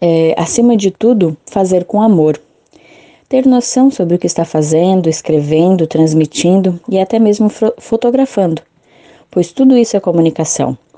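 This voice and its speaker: Lively intonation rides on a dark, mellow tone, delivered at a moderate pace. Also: woman, medium pitch for a woman. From Santa Catarina, southern Brazil. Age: 30s. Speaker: journalist and parish communicator. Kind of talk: interview.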